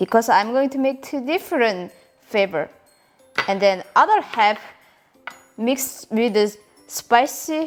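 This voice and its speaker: A woman with a Korean accent speaks at a fairly slow pace in a high voice with lively intonation, leaving long, frequent pauses while music plays in the background. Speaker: home cooking video host. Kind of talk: casual cooking tutorial to camera.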